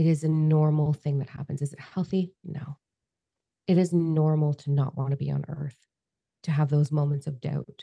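A woman speaks at a moderate pace in a very deep, low pitch with a dark, mellow tone. The sound is dry and close with no echo. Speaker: podcast host. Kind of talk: casual chat. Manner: animated; loud.

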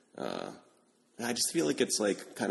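A man speaks with an American accent at a fairly quick pace. His voice carries vocal fry. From upstate New York (Albany). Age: 30s. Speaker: podcast host. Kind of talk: casual interview chat.

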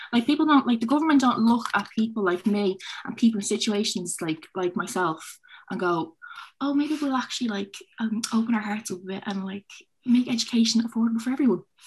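This woman's voice is somewhat breathy, with fairly high pitch and ordinary pitch variation. She speaks at a fairly quick pace. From Dublin, Finglas. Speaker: student senator-elect. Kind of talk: panel discussion. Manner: animated.

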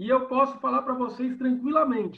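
A man speaks at an extremely high pitch. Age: 40s. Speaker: sports journalist. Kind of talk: casual chat.

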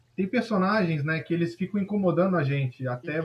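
With a Brazilian accent, a man talks in a fairly high voice with lively intonation. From southern Brazil. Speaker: band songwriter. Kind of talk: casual interview. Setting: video call.

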